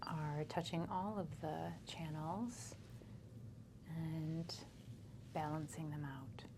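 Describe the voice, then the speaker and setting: A soft-spoken, somewhat breathy woman's voice, very deep and low, with a dark, mellow, calm tone, ordinary pitch variation, a very slow pace and long, frequent pauses. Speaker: acupuncturist and energy healer. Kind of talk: soft-spoken ASMR treatment session with a patient. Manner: soft-spoken, calm.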